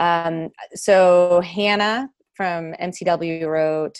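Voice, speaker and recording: A woman with an American accent speaks in a plain, everyday voice at a fairly low pitch, with ordinary pitch variation. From Texas. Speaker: residency program director, physician. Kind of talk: panel presentation.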